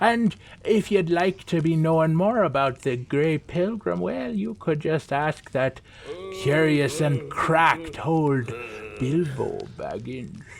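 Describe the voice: A man puts on a character voice, pitched fairly high, speaking slowly with lively intonation and vocal fry.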